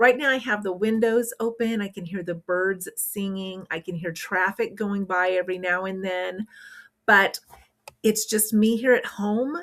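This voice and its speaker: A woman at a medium pitch and a fairly slow pace, with ordinary pitch variation. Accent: American. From rural Kansas. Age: 60s. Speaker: retired frugal living vlogger. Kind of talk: casual vlog talk. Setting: at home, windows open.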